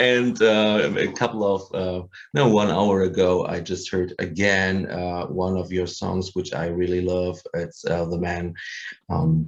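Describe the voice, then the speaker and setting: A man with a German accent speaks in a very deep, low voice. His pace is fairly slow and his intonation fairly even. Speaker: musician. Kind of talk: casual interview. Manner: halting, many fillers.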